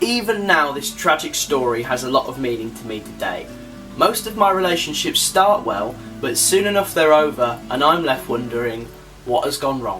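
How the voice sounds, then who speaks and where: Very wide pitch swings and big swings in loudness over background music. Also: man, fairly high pitch for a man, moderate pace. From Birmingham, England. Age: young. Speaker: filmmaker, BBC production apprentice. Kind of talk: personal documentary narration.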